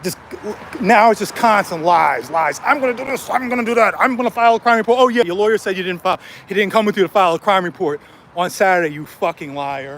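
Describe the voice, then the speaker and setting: A man talks loudly at a very fast pace in an animated tone, his voice high-pitched for a man, with noticeable background noise. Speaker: street vlogger. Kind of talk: vlog rant. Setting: outdoors.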